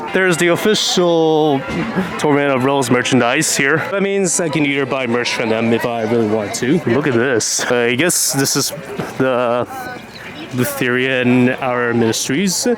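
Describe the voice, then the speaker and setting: Amid noticeable background noise and audible room echo, a man speaks at a medium pitch and moderate pace, with ordinary pitch variation and very even loudness. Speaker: vlogger. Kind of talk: casual vlog narration.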